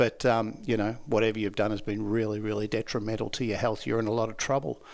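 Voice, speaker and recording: Very fast and monotone, a man with an Australian accent speaks at medium pitch with flat intonation in a very clean recording against a silent background. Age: 60s. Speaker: laughter yoga trainer. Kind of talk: podcast interview.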